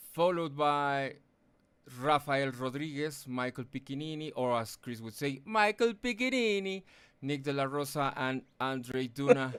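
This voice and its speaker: In a non-native accent, a man talks at a fairly high pitch with ordinary pitch variation. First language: not English. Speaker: sim racing broadcast commentator. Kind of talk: live race broadcast; tribute speech. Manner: halting, many fillers.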